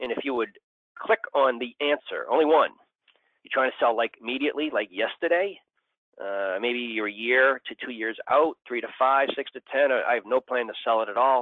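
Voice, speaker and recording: At a moderate pace, a man speaks in an unremarkable speaking voice of medium pitch, with ordinary pitch variation. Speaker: business growth consultant. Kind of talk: webinar presentation. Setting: phone or online webinar.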